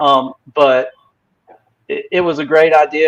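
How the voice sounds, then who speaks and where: A man speaks with a Southern US accent in a flat, monotone delivery. The sound is dry and close, with no echo. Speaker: crypto company representative. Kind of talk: casual livestream chat. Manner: halting, many fillers.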